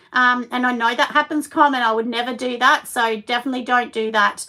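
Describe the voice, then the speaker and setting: A woman's raised, projected voice, high in pitch, bright and sharp in tone, with fairly even intonation. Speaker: crafts channel host. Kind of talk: casual chat.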